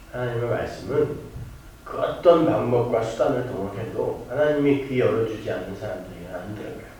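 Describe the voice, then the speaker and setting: Fairly quick speech with ordinary pitch variation and big swings in loudness, amid audible room echo and noticeable background noise. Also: man, medium pitch for a man. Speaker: pastor. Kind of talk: sermon. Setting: church. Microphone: poor church sound system.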